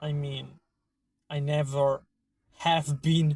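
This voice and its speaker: A man talks at a very slow pace in an Italian accent. His voice is somewhat breathy and fairly high in pitch. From Italy, Emilia-Romagna. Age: 30s. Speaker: vlogger. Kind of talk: opinion monologue. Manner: halting.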